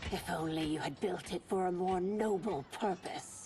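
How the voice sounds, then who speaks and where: A woman does a put-on character voice at a medium pitch and a moderate pace, with clear background noise behind her. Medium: video game.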